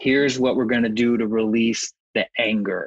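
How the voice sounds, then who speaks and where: Using a normal speaking voice, a man with an American accent speaks at a fairly slow pace and medium pitch, recorded dry and close with no echo. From Texas. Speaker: grief yoga teacher. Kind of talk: interview.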